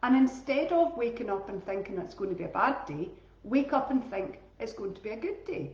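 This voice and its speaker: In a Scottish accent, a woman speaks at a high pitch and a fairly quick pace. Her voice makes very wide pitch swings, with audible room echo. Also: big swings in loudness. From Scotland. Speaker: teacher and wellbeing coach. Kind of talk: casual talk on live stream. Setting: Facebook live stream. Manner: chatty, informal.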